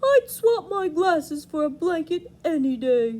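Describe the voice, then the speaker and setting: This put-on character voice is squeaky, with an extremely high pitch. It moves along at a moderate pace. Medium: read story.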